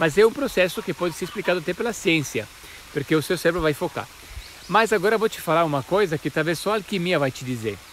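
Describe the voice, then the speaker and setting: Speaking with an Italian accent, a man talks at a very fast pace in a high pitch. His intonation is lively, and noticeable background noise runs behind him. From Italy. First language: Italian (speaking Portuguese). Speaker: spiritual teacher, alchemist. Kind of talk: casual explainer talk to camera. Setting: outdoors in nature. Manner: halting with frequent repetitions.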